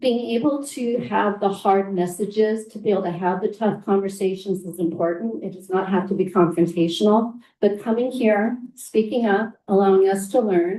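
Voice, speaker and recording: A woman of medium pitch speaks at a moderate pace with hardly any pauses, in a dark, mellow tone with ordinary pitch variation. Her voice sounds nervous and shaky, with big swings in loudness. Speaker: school board trustee. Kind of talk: board meeting remarks. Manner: nervous, shaky voice.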